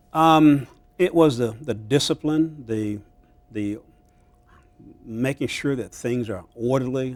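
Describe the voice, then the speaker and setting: A man speaks at a very slow pace with long, frequent pauses. His loudness swings widely. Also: medium pitch for a man, ordinary pitch variation. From US, army bases (military family). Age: 60s. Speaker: county government administrator. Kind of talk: interview. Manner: halting, many fillers.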